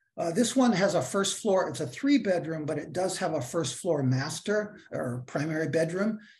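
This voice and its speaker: Intonation is lively as a man talks at a fairly slow pace. He has an unremarkable speaking voice. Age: 60s. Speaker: housing developer. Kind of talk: project presentation.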